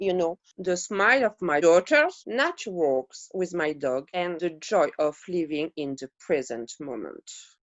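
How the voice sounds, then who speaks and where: A woman with a French accent, fairly low in pitch, with lively intonation at a fairly slow pace. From Montpellier, South of France. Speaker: artist, former dog groomer. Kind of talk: interview answer.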